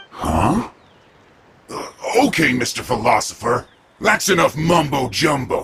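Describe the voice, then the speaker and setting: A man puts on a character voice with a fairly high pitch. He talks fairly slowly, with long, frequent pauses. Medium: video game. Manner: brusque, impatient.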